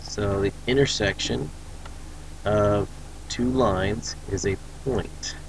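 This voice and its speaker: A man's fairly low voice with ordinary pitch variation amid noticeable background noise. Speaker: teacher. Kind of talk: recorded lecture.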